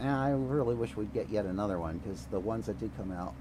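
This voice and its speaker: The man's very deep, low voice shows vocal fry and very wide pitch swings, with audible room echo around it. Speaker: gaming streamer. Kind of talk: casual rant on stream. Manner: animated, profane ranting. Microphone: too quiet, poor sound settings.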